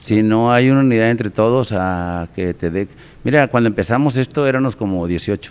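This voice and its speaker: A man speaks in a plain, everyday voice, with a medium pitch, ordinary pitch variation and a moderate pace. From Mexico, Nuevo León (San Juan, Cadereyta). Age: 50s. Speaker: amateur baseball association president. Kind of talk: casual interview.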